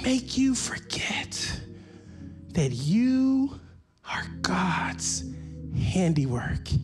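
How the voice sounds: A man's voice with big pitch swings over faint music in the background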